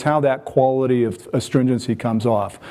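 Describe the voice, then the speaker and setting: This man has a medium pitch and talks at a moderate pace. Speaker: phenolic chemist, conference speaker. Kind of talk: lecture. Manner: frequent fillers, hesitant.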